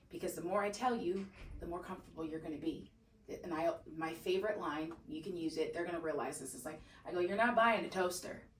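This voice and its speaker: At a very fast pace, a woman with a fairly low pitch sounds animated, her loudness swinging widely and her pitch varying in an ordinary way amid audible room echo. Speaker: real estate agent. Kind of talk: training session.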